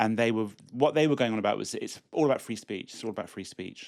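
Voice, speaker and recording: The man has a British accent and a medium pitch, with fairly even intonation. His recording is very clean, with a silent background. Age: 60s. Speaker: immigration lawyer. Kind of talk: casual chat. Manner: halting.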